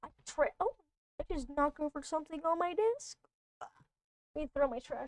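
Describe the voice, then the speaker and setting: A woman with a high pitch speaks with long, frequent pauses in a dry, close sound with no echo. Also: ordinary pitch variation, moderate pace. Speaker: video game streamer. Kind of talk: casual livestream chat. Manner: dramatic, emphatic delivery; talkative.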